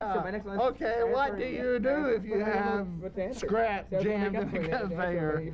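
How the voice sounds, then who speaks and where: Over noticeable background noise, a man talks very slowly in a high voice, with ordinary pitch variation and very even loudness. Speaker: puppeteer.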